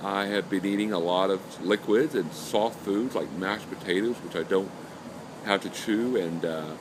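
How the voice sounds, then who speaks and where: Noticeable background noise sits behind a man's fairly low voice. He moves at a moderate pace with ordinary pitch variation. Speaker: video blogger recovering from jaw surgery. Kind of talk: personal video diary. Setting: self-recorded on camera.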